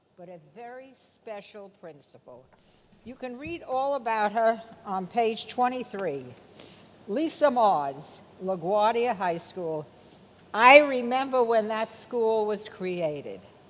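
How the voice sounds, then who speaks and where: A woman speaks very slowly in a fairly high voice with lively intonation. Her loudness swings a lot. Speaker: former teacher, education publisher. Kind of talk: award presentation speech. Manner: loud, projecting.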